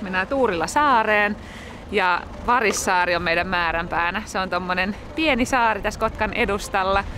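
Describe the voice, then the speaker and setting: Recorded with a dry sound with no echo and noticeable background noise, a woman speaks at a moderate pace with ordinary pitch variation. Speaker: family vlogger. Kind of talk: casual vlog chat. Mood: cheerful, smiling. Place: waterside. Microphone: phone near.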